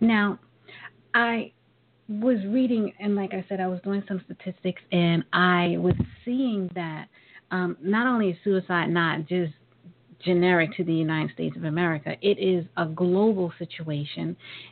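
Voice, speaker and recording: A woman's voice in a New York accent, at a medium pitch and moderate pace, with ordinary pitch variation. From Brooklyn, New York. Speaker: talk radio host. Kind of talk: radio interview.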